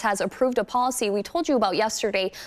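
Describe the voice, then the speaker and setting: A normal speaking voice from a woman, fairly high in pitch with ordinary pitch variation and a fairly quick pace. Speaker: TV news anchor. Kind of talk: TV news read.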